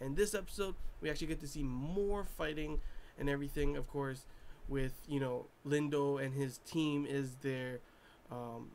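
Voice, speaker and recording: Audible room echo around a man's fairly high-pitched speech, moderate in pace and ordinary in pitch variation. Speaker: anime reviewer. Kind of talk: casual review monologue. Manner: mumbling; animated.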